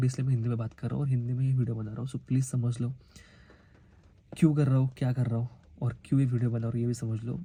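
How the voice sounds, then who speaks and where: Somewhat breathy, this man has a dark, mellow tone at a medium pitch. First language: Marathi (speaking Hindi). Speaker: vlogger. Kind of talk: emotional personal vlog. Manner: halting, hesitant.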